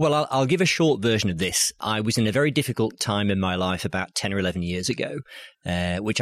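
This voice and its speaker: Here a man with a fairly low pitch uses lively intonation at a fairly quick pace. The recording is very clean, with a silent background. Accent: Yorkshire. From Yorkshire, northern England. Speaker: business storytelling coach. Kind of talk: interview. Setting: bookshop.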